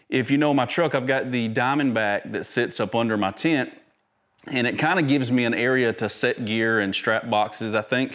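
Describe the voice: Fairly bright tone at a moderate pace, with ordinary pitch variation. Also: man, medium pitch for a man.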